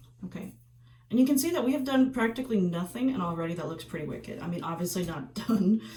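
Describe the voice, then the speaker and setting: A woman speaks very fast with a medium pitch, very wide pitch swings and big swings in loudness. Background noise is noticeable. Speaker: makeup artist teaching trauma makeup. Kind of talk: tutorial. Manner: casual, with filler words.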